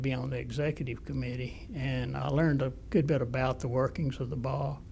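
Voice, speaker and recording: Speaking with an Alabama accent, a man uses a medium pitch, fairly even intonation, a moderate pace and some vocal fry. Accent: Southern US (Alabama). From US South, Mobile, Alabama. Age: 70s. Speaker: retired-age lawyer, former state bar president. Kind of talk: oral history interview. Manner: halting, with fillers.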